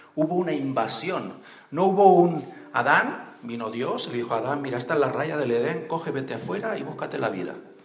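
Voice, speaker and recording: Lively intonation marks the fairly quick speech, which plays over noticeable background noise. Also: man, fairly high pitch for a man. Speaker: preacher. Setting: church. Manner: animated, conversational, humorous asides, asks the crowd questions and waits for answers.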